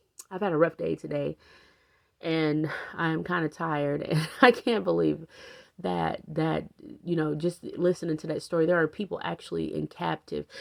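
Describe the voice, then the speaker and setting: A woman does a put-on character voice that is raspy and very deep, low-pitched, speaking at a moderate pace in a very clean recording with a silent background. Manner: stuttering, repeating words.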